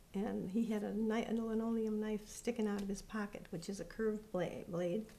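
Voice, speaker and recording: Somewhat breathy and dark, mellow in tone, a woman speaks at a moderate pace with a fairly high pitch and ordinary pitch variation. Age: 70s. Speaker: interviewee recounting her childhood. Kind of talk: interview testimony. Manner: halting.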